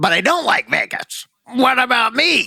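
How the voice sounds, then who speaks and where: A man puts on a character voice at an extremely high pitch. He speaks at a moderate pace. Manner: whiny, nagging, witch-like.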